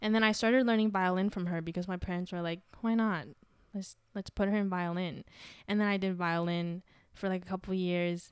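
Fairly quick, fairly even in intonation: an ordinary speaking voice. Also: woman, medium pitch for a woman. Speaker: podcast host. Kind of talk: casual chat. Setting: video call.

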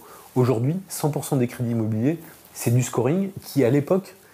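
At a moderate pace, a man speaks in a dark, mellow, somewhat breathy tone at medium pitch. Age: 40s. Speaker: insurance startup founder. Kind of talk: interview.

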